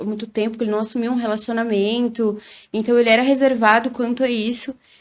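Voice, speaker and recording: In a southern Brazilian accent, the speaker moves at a fairly quick pace in a very clean recording with a silent background. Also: woman. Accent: gaúcho. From Rio Grande do Sul, Brazil. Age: 30s. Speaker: singer. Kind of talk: interview.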